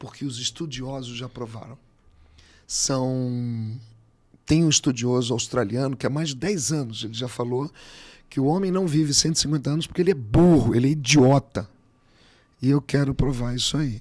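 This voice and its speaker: This man talks at a medium pitch and a moderate pace, with ordinary pitch variation. He leaves long, frequent pauses, and the background is quiet. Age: 60s. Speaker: physical education professional; podcast guest, swimming teacher. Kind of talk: interview. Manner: animated. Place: studio. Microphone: studio mic.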